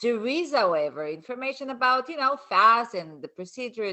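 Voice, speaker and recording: Speaking fairly slowly with a non-native accent, a woman uses a high pitch with very wide pitch swings. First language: not English. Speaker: colon hydrotherapist and author. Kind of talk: casual interview chat.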